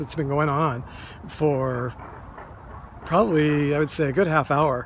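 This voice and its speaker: A man talks at a moderate pace with fairly even intonation. The sound is dry with no echo, though light background noise is present. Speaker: cemetery tour vlogger. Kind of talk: casual vlog chat. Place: open country. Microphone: phone near.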